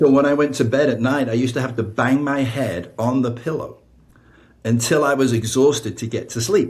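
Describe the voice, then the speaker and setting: At a fairly quick pace, a man with an American accent speaks in a medium pitch, somewhat breathy and with fairly even intonation, amid audible room echo. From northern England, Blackpool. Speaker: author and spiritual counselor. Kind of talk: podcast interview, personal testimony. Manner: conversational, many fillers.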